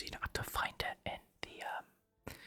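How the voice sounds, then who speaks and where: Someone whispers at a fairly slow pace over music in the background. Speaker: ASMR content creator. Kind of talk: whispered gameplay commentary, casual talk to camera. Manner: whispered, soft.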